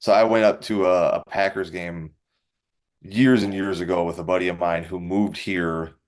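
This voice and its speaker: Against a quiet background, a man with a Wisconsin accent speaks at a fairly quick pace in a very deep, low pitch. His intonation stays fairly even. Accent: Wisconsin, noticeable on some words. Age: 30s. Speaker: professional MMA fighter. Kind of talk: interview. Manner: casual, uses fillers.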